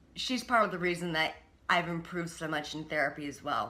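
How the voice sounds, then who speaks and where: A woman talks at a fairly quick pace with ordinary pitch variation, and audible room echo surrounds her voice. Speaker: vlogger sharing personal treatment experience. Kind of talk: personal video diary. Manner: halting, with many fillers and repetitions.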